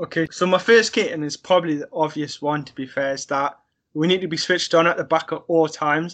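A man with a Sunderland accent, fairly high in pitch, fairly quick and fairly even in intonation, against a quiet background. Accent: Mackem (Sunderland) English. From northern England, Sunderland. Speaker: football fan. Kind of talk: casual chat.

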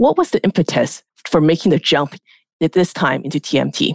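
A woman talks at a moderate pace in a very deep, low pitch, with vocal fry and ordinary pitch variation. The background is quiet, and the sound is dry and close with no echo. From Canada. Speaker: investment banker, podcast host. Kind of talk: interview.

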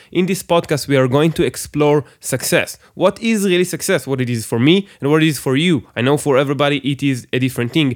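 A man with an Israeli accent, fairly high in pitch, at a fairly quick pace with ordinary pitch variation, on a very clean recording with a silent background. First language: Hebrew. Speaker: podcast host. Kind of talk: solo podcast monologue. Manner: halting, many fillers and restarts.

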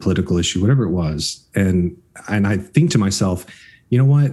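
With an American accent, a man talks at a fairly quick pace in a very deep, low pitch, his pitch varying in an ordinary way. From Florida. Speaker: film and television producer. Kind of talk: interview.

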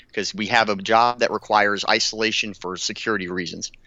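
A man's fairly low voice, a plain, everyday voice, at a fairly quick pace. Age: 30s. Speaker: war veteran. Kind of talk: casual chat.

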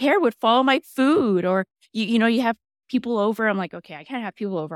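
The speaker has a Texan accent, recorded very cleanly against a silent background with a dry, close sound and no echo. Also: woman. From Texas, San Antonio. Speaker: health coach. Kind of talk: casual interview.

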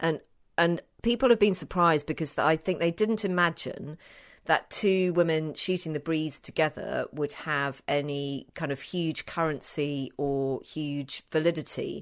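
At a fairly slow pace, a woman speaks in a very deep, low pitch with ordinary pitch variation. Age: 50s. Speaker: radio journalist and podcaster. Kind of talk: casual interview. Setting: remote virtual studio connection.

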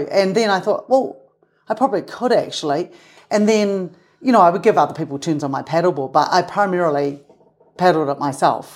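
A woman with a New Zealand accent talks at a fairly quick pace with lively intonation. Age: 50s. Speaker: mountain guide. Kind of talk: casual interview conversation.

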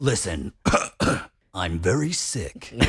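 Using a put-on character voice, a man speaks very deep and low with very wide pitch swings. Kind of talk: movie phone voice.

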